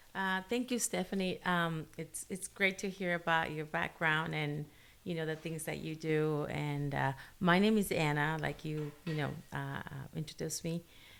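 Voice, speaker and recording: Speaking with a Spanish accent, a woman uses a very deep, low pitch and a bright, sharp tone. Her pace is fairly slow, and the recording is very clean with a silent background. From Guatemala. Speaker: special education teacher. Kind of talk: casual interview chat. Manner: halting, many fillers.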